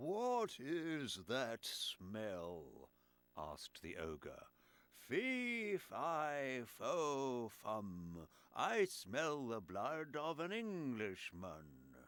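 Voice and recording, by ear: Using a put-on character voice, a man talks at medium pitch and a very slow pace.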